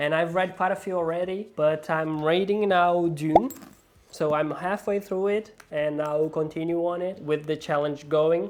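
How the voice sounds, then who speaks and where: Someone with a non-native accent speaks at a fairly slow pace over noticeable background noise. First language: not English. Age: adult with a nine-to-five job. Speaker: book vlogger. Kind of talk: casual vlog.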